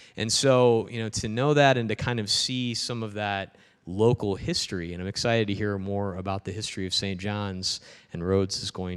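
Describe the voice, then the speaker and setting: Against a quiet background, a man with a fairly low pitch and a normal speaking voice talks at a fairly quick pace with ordinary pitch variation. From Peoria, Illinois. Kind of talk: public talk. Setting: parish hall with audience.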